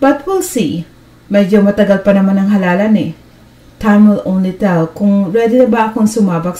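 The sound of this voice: Unforced voice, reading aloud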